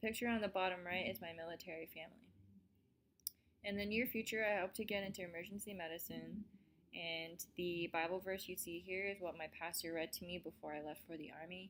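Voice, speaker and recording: A woman with an American accent speaks at a fairly quick pace in an unremarkable speaking voice. Her pitch is fairly low and her intonation fairly even. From US, Colorado. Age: 20s. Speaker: army medic and student presenter. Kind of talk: student presentation, read from script.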